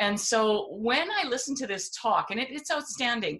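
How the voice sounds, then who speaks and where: The tone is bright and sharp, and the speech goes at a moderate pace. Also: woman. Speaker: homeschooling speaker and writer. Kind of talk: casual podcast conversation.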